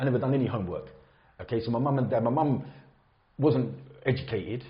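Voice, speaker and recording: A man with an English accent talks at a very fast pace, his medium pitch carrying fairly even intonation and vocal fry. Room echo is audible. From England, Luton. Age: 50s. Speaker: builder sharing his conversion story. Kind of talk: podcast interview, personal story. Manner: casual, conversational.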